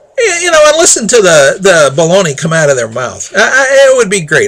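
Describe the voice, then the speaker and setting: A man's pitch swings very widely as noticeable background noise carries on behind him. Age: 60s. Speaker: local political commentator. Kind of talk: opinion monologue. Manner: halting, repeats words; exasperated.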